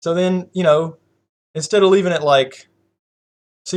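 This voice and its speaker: With a Southern US accent, a man talks at a fairly quick pace and a high pitch. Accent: country accent, US Southern. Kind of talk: casual chat.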